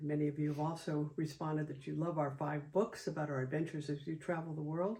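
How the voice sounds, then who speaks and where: Somewhat breathy and dark, mellow in tone, a woman with an American accent talks at a fairly quick pace in a very deep, low pitch. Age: 70s. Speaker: travel photographer and author. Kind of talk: casual video introduction.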